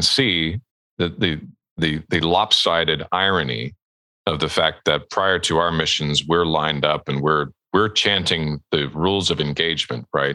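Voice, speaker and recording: A man's very deep, low voice with a bright, sharp tone and vocal fry, at a fairly slow pace, with ordinary pitch variation and very even loudness, dry and close with no echo. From Alberta, Canada. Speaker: ghostwriting agency owner and author. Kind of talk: podcast interview.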